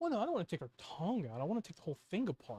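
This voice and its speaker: A put-on character voice at a middle pitch races along at a very fast pace. Its pitch swings very wide. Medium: actual play. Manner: calm, nonchalant, lackadaisical.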